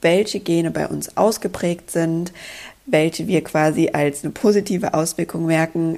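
A woman with a fairly low pitch and vocal fry speaks at a moderate pace, keeping her intonation fairly even. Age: 20s. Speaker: podcast host and coach. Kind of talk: solo podcast monologue.

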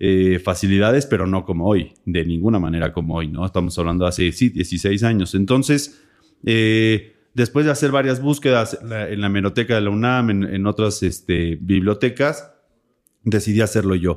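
This man has an ordinary speaking voice, fairly low in pitch, and talks at a moderate speed with ordinary pitch variation. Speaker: author and journalist. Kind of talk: casual interview.

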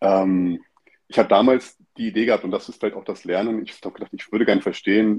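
A man with a fairly low pitch talks at a fairly quick pace in an ordinary speaking voice, his intonation fairly even. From northeastern Germany (Stralsund, former GDR). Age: 40s. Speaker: consultant and educator. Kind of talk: casual interview.

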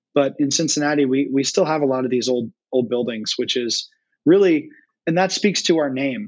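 An unremarkable speaking voice from a man with an American accent, fairly high in pitch, moderate in pace, with lively intonation. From North Carolina. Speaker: brewery education director. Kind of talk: casual interview chat. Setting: remote call.

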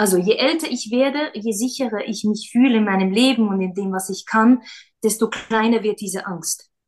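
A woman speaks at a fairly high pitch with a somewhat breathy quality. Her pitch variation is ordinary. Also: moderate pace. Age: 30s. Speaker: schoolteacher and former stage actress and singer. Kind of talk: casual interview.

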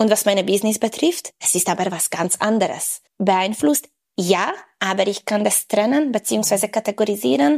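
This woman has a medium pitch and a plain, everyday voice. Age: 30s. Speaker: women's health and fitness coach. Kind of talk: interview.

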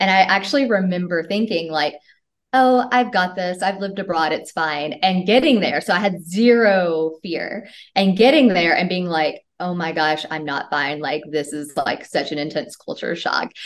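In an unremarkable speaking voice, a woman talks at a moderate pace with lively intonation, medium pitch and an American accent. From US South, Tennessee. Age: 30s. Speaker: manifestation coach. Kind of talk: casual interview.

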